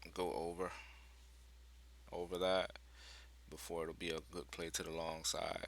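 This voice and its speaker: Quiet and very deep, a man's voice has a bright, sharp tone with vocal fry, ordinary pitch variation, and a moderate pace. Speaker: day trader sharing trades. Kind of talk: casual market commentary video. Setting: at home with others in the house. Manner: quiet, keeping voice down; hesitant, many fillers.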